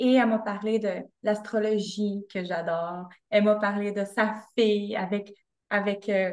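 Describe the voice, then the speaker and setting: There is a quiet background as a woman speaks with a Quebec accent. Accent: Québécois French. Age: 30s. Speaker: fitness coach and podcaster; fitness coach, podcaster. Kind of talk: interview conversation. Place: home room. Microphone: video call.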